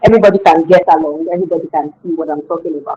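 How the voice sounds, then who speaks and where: A woman speaks with a Nigerian accent. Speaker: skincare business founder. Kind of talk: webinar presentation. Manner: fast.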